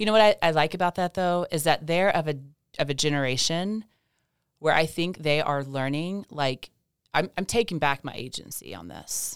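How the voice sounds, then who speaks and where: A woman with a very deep, low pitch speaks at a moderate pace with ordinary pitch variation. The sound is dry and close with no echo, on a very clean recording with a silent background. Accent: East Tennessee. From US South (East Tennessee). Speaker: physician. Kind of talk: interview. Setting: studio.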